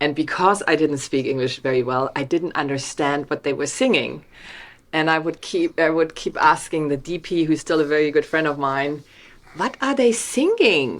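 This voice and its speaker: On a very clean recording with a silent background, a woman with a very deep, low pitch and a strong German accent speaks with ordinary pitch variation. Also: moderate pace. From Germany, Hamburg. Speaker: documentary film director. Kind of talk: video interview.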